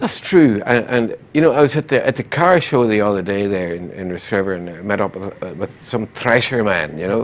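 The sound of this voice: With few pauses and a fairly quick pace, a man talks using lively intonation. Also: fairly low pitch for a man.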